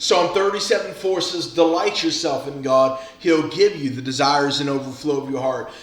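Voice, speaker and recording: An animated man is heard with audible room echo and noticeable background noise. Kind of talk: devotional message. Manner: fast.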